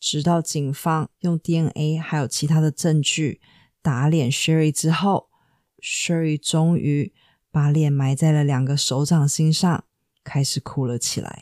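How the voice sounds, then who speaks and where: A woman's very deep, low voice, very slow with fairly even intonation, on a very clean recording with a silent background and a dry, close sound with no echo. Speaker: true crime podcaster. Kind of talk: scripted narration.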